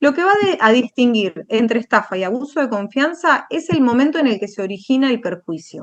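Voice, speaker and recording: The pitch swings very widely at a fairly quick pace. There are hardly any pauses. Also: woman, high pitch for a woman. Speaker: law lecturer. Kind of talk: lecture.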